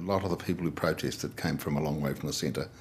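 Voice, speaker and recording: Noticeable background noise runs under this recording. A man with a New Zealand accent talks at a very fast pace. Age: old. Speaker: retiring politician and farmer. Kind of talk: interview. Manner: hesitant, with fillers and restarts.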